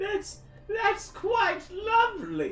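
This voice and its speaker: A squeaky, put-on character voice runs at an extremely high pitch. Music plays clearly in the background. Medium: actual play.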